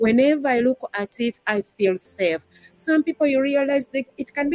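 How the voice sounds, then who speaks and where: With music in the background and a dry, close sound with no echo, a woman with a Ugandan accent speaks at a moderate pace in a high pitch, her intonation lively. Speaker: discussion panelist. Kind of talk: live-stream panel discussion.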